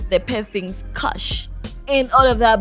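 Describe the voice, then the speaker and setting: With music playing in the background, a woman talks at a fairly slow pace. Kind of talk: casual reaction commentary.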